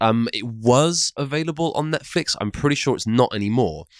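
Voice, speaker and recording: Dry, close sound with no echo on a very clean recording against a silent background. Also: man. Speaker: video game podcast host. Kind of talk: casual chat. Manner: fast.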